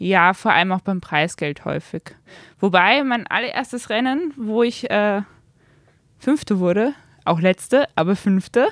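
With a slight northern German accent, a woman speaks at a fairly slow pace and a medium pitch, using lively intonation and long, frequent pauses in a dry, close sound with no echo. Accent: slight non-Viennese, northern German tinge. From Austria, Vienna. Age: 20s. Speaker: amateur road cyclist. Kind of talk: interview. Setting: bike shop.

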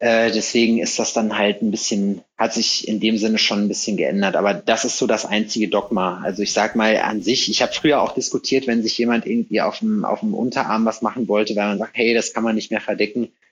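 A man speaks at a medium pitch in a monotone, flat intonation, keeping his loudness very even. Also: fairly quick pace, hardly any pauses. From North Rhine-Westphalia, between Hagen and Lüdenscheid. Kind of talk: casual chat.

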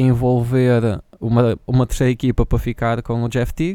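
A man's dark, mellow voice in a European Portuguese accent. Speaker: podcast co-host. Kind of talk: casual chat.

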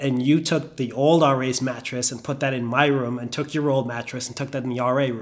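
Fairly quick speech from a man with a Bahamian accent, medium in pitch, with fairly even intonation. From Bahamas. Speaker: investment banker. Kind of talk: casual chat.

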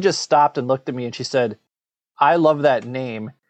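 This is a plain, everyday voice at a moderate pace. It carries an American accent. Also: man. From Minnesota. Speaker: podcast co-host and course creator. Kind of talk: interview conversation. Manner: repetitive false starts.

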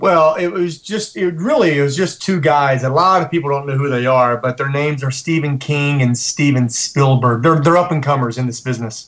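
Speaking at a fairly quick pace with hardly any pauses, a man with an American accent has a plain, everyday voice, a fairly high pitch and ordinary pitch variation. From West Virginia. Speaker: actor. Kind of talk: interview.

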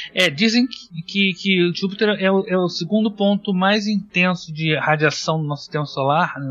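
Pitched high for a man, he talks at a moderate pace with hardly any pauses and ordinary pitch variation. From Rio de Janeiro, Brazil. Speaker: planetarium astronomer. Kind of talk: casual chat.

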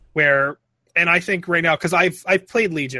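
A man with a bright, sharp tone speaks at a fairly quick pace with ordinary pitch variation. The recording is very clean, with a silent background and a dry, close sound with no echo. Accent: American. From Philadelphia, US. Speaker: gamer guest. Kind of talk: casual chat.

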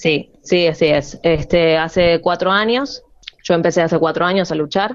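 At a moderate pace, a woman talks in a fairly low-pitched voice. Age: 30s. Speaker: professional wrestler. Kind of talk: interview. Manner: halting.

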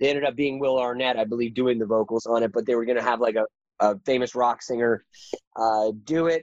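With an American accent, a man talks at a very fast pace in a medium pitch, his intonation fairly even. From rural northeast Washington State. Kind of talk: interview. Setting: remote call.

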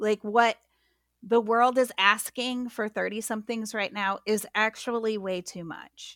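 With an American accent, the speaker goes at a very slow pace with fairly even intonation and big swings in loudness, recorded dry and close with no echo on a very clean track with a silent background. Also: woman. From US Midwest. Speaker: pastor and author. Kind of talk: interview.

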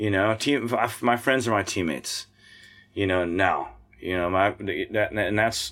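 A man with an American accent speaks at a fairly slow pace, his pitch fairly low with ordinary variation. He leaves long, frequent pauses. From US Midwest, Missouri. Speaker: singer-songwriter and muralist. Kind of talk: casual interview. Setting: camper studio.

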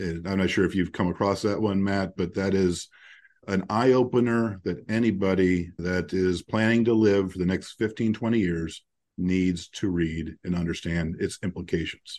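Over a quiet background, a man with a very deep, low voice talks at a moderate pace with fairly even intonation. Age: 50s. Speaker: podcast host, founder of a financial network for attorneys. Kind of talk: casual interview chat. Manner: halting, with many fillers and repetitions.

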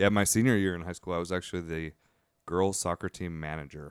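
A very deep, low-pitched man with an American accent and fairly even intonation, in a dry, close sound with no echo on a very clean recording with a silent background. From Washington DC area, military family. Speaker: chef and restaurant owner. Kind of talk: casual chat.

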